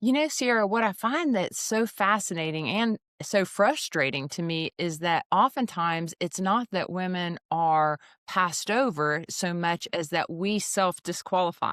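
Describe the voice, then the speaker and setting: A woman with a Southern US accent speaks at a fairly slow pace, her medium pitch carried by lively intonation. The recording is very clean and silent behind her, with a dry, close sound and no echo. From Alabama, US South. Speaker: executive recruiter. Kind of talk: podcast interview.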